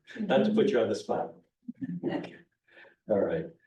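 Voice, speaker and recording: A man speaks at a fairly quick pace. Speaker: organization president giving annual meeting update. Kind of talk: meeting presentation. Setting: meeting room with audience.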